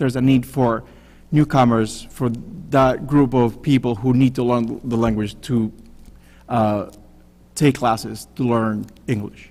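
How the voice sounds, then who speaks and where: Speaking in a Spanish accent, a man uses a medium pitch with ordinary variation at a fairly slow pace. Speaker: city council candidate. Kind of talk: candidate forum answer.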